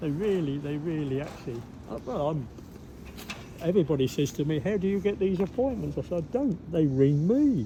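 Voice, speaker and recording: Against noticeable background noise, a man talks at a fairly quick pace, fairly high in pitch, with lively intonation. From Cambridgeshire, England. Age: 80s+. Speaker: local resident. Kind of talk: casual chat. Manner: halting, repetitive.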